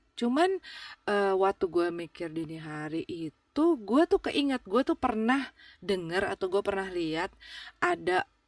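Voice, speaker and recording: In a relaxed tone, a woman speaks at a fairly slow pace with lively intonation and a medium pitch, on a very clean recording with a silent background and a dry, close sound with no echo. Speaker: podcast host. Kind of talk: casual chat. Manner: halting, many fillers; relaxed, informal.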